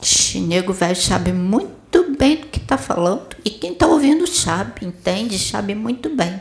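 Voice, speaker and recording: Speaking with a Brazilian accent, a woman at medium pitch moves through very wide pitch swings. Her moderate pace has hardly any pauses, against noticeable background noise. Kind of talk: sermon. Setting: spiritual center with audience. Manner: didactic, direct rhetorical questions; warm, paternal, exhorting.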